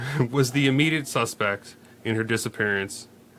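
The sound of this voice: This is an unforced reading voice. The pitch varies in an ordinary way.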